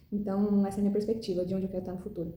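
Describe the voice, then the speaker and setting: A woman is speaking. Room echo can be heard. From Brazil, Goiás. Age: 20s. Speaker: medical student. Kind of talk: recorded self-presentation. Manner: hesitant, many fillers.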